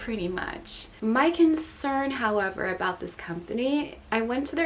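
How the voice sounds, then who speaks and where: A woman speaks at a moderate pace, her pitch fairly high and her intonation lively. Noticeable background noise runs underneath. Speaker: product review YouTuber. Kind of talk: casual product review monologue.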